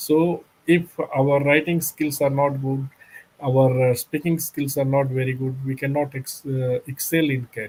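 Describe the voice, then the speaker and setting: At a fairly slow pace, a man speaks in a somewhat breathy voice at a fairly high pitch, with monotone, flat intonation. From India, Bihar. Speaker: company secretary. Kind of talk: interview. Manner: halting, many fillers.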